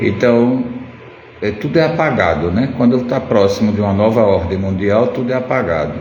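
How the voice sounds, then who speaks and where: Over noticeable background noise and audible room echo, a man with a fairly low pitch speaks at a moderate pace with lively intonation. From Pernambuco, Brazil. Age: 60s. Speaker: ceramic artist. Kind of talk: casual live stream chat. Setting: live stream.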